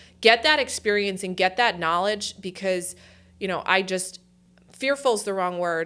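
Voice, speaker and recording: A woman with a New Jersey accent is heard in a very clean recording with a silent background. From New Jersey Shore, Point Pleasant Beach. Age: 40s. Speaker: university company executive. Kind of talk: interview. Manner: casual, hesitant with fillers.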